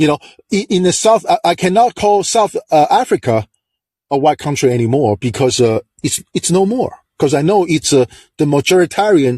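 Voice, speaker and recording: Against a quiet background, a man with a Chinese accent speaks in a dark, mellow tone with very wide pitch swings, the sound dry and close with no echo. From China. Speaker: call-in show host. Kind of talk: political commentary monologue.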